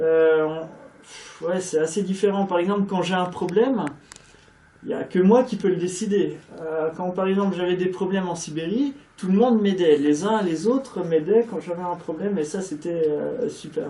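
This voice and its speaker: This man has a high voice with ordinary pitch variation. He speaks at a moderate pace. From France. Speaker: native-speaker guest at a language school. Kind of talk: casual interview chat. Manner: hesitant, many fillers.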